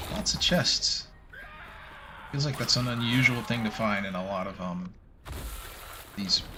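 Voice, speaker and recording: Mumbling at a fairly slow pace with long, frequent pauses, a man talks at medium pitch with ordinary pitch variation, amid noticeable background noise and audible room echo. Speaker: video game streamer. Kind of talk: live gameplay stream chat. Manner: rambling stream of consciousness; mumbles.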